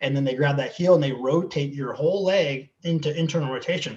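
This man has a fairly high pitch and an American accent, with ordinary pitch variation. His voice sounds somewhat breathy. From Southern California. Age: 50s. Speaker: athletic trainer. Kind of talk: interview.

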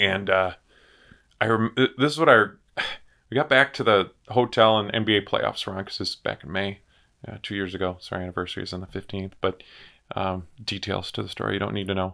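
A man with an American accent, fairly low in pitch, bright and sharp in tone, with big swings in loudness, long frequent pauses, and a very clean recording over a silent background. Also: ordinary pitch variation. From US Midwest (Marshfield, Wisconsin). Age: 40s. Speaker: insurance business owner. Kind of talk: casual chat. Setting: studio.

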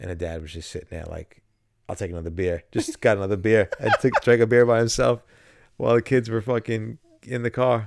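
Talking at a fairly quick pace, a man with a medium pitch shows ordinary pitch variation and big swings in loudness, recorded with a dry, close sound and no echo. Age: 40s. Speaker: podcast co-host. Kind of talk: casual chat. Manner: animated.

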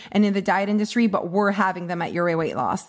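A woman speaks with a French Canadian accent. Her medium-pitched voice keeps a fairly even intonation. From Canada. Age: 30s. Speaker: weight loss coach. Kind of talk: casual interview chat.

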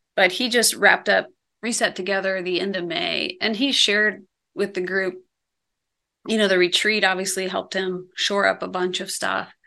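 Her voice is medium in pitch, with a bright, sharp tone and vocal fry. The woman keeps a moderate pace and a monotone, flat intonation. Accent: American. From Iowa, US Midwest. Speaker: ministry founder and coach. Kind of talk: interview.

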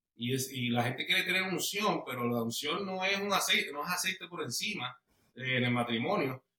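Speaking at a fairly quick pace, a man with a high-pitched voice uses lively intonation. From Puerto Rico (Bayamón). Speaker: guest sharing marriage testimony. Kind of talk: testimony interview.

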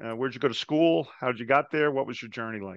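With an American accent, a man talks in a plain, everyday voice, fairly high in pitch with ordinary pitch variation, the sound dry and close with no echo over a quiet background. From New Jersey. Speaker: podcast host. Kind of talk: interview.

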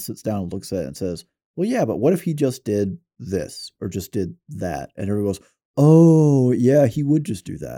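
A man's dark, mellow voice with an American accent and very wide pitch swings, on a very clean recording with a silent background. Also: dry, close sound with no echo. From US South. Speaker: podcast host. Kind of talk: casual chat. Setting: studio.

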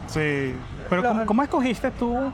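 Noticeable background noise sits under a man talking at a moderate pace with lively intonation. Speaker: podcast host. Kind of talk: casual chat. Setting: cafe.

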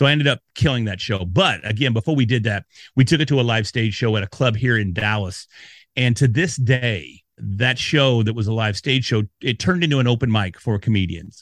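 At a fairly quick pace, a man talks in an animated tone. His pitch is medium with ordinary variation. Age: 40s. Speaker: podcast consultant. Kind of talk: interview.

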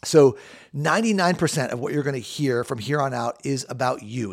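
A man with an American accent talks at a fairly quick pace, with a fairly high pitch and lively intonation. The recording is very clean, with a silent background. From Southern California. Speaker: naturopathic doctor, podcast host. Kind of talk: solo podcast monologue. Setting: studio.

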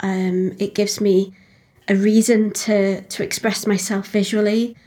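In a very clean recording with a silent background, a woman speaks in a dark, mellow tone that is somewhat breathy. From Liverpool, England. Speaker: folk singer-songwriter. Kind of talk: casual interview chat.

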